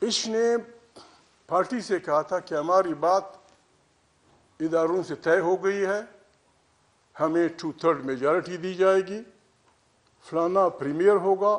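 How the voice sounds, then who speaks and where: In a passionate tone, a man talks with a high pitch and ordinary pitch variation. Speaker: politician giving a public speech. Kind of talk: political speech at a conference. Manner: forceful, passionate, storytelling.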